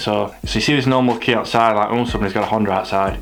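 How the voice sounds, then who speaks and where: Fairly quick speech with an English accent, plus noticeable background noise and audible room echo. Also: man. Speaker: car vlogger. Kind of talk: casual vlog.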